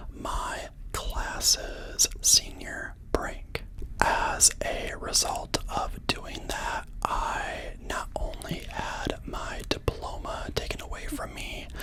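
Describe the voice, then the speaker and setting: Someone is whispering at a very slow pace. Noticeable background noise is present. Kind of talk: ASMR storytime, casual personal story. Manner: soft-spoken; chatty, rambling.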